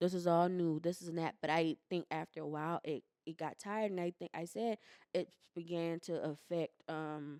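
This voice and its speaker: With a dark, mellow tone and fairly low pitch, a woman speaks at a moderate pace with fairly even intonation in a dry, close sound with no echo. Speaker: podcast co-host. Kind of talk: casual chat.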